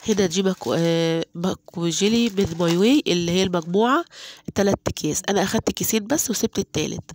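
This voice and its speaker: A woman speaks at a moderate pace in an Egyptian accent, her medium-pitched voice showing ordinary pitch variation. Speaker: home cooking vlogger. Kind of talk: cooking tutorial. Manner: casual, with many fillers.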